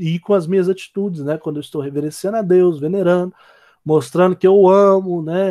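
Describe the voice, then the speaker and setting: Speaking at a fairly quick pace, a man uses a high pitch, a dark, mellow tone and fairly even intonation, with a dry, close sound and no echo. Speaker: theology lecturer. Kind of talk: lecture. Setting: recorded online class.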